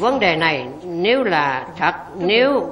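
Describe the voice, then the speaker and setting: The woman's intonation is lively. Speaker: voice-over narrator. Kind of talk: scripted narration.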